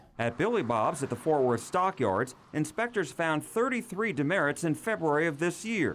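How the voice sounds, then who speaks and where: A man with an American accent speaks at a fairly high pitch with vocal fry. His pitch swings very widely, and his pace is moderate. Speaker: TV news reporter. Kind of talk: TV news report voiceover.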